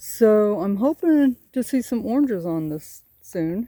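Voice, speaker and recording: Recorded with a dry, close sound and no echo, a woman talks in a Southern US accent. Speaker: homesteading vlogger. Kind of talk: casual vlog. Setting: outdoors. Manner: rambling, halting.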